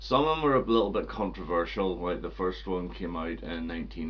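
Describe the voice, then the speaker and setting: Fairly quick male speech amid audible room echo and noticeable background noise. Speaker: music collector video host. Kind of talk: casual video review.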